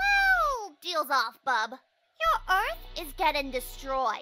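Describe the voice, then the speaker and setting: In a cartoonish character voice, the speaker goes at a very slow pace with extremely high pitch and very wide pitch swings. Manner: taunting.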